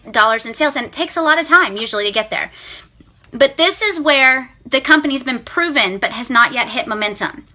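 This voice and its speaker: A woman's high-pitched, raised and projected voice, animated in tone, with lively intonation. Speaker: direct sales team leader. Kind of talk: live video pep talk. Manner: loud.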